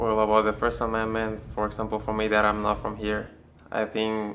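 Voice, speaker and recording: A man's fairly low, bright, sharp voice with a Spanish accent, at a moderate pace and in a monotone, flat intonation. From Panama. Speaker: interviewee. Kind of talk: street interview.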